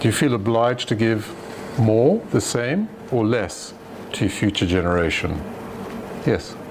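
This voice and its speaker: With noticeable background noise and audible room echo, a man at medium pitch speaks with lively intonation and very even loudness, leaving long, frequent pauses. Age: old. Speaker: retired doctor giving a philosophy talk. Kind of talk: lecture with audience discussion.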